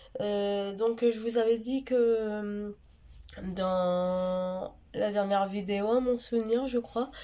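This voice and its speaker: A woman speaks very slowly at a fairly high pitch, with a dark, mellow tone and fairly even intonation. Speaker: vlogger. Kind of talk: casual vlog talk. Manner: halting, many fillers.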